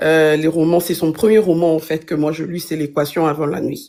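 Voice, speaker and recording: On a very clean recording with a silent background, a woman's fairly low voice comes through. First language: not French (multilingual, intermittent francophone) (speaking French). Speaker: book reviewer. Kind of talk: book review in a live stream. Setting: live stream. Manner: halting, many fillers.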